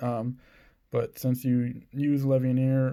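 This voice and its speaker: A man speaks in a dark, mellow tone with monotone, flat intonation. The recording is very clean, with a silent background. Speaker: card game YouTuber. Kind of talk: deck profile tutorial. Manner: halting, stumbling over words; casual.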